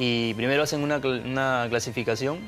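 A man's speech comes with faint music playing behind it. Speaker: guest. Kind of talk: interview answer. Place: studio. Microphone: lapel.

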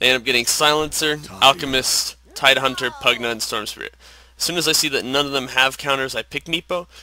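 The speaker talks at a fairly quick pace with fairly even intonation over noticeable background noise. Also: man, medium pitch for a man. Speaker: gaming commentator. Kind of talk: casual game replay commentary.

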